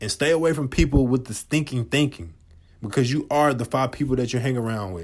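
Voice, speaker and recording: Ordinary pitch variation marks a man's voice on a very clean recording with a silent background. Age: 20s. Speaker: motivational podcast host. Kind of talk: motivational monologue. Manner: animated.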